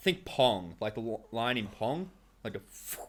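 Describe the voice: A man's fairly low pitch with big pitch swings at a fairly slow pace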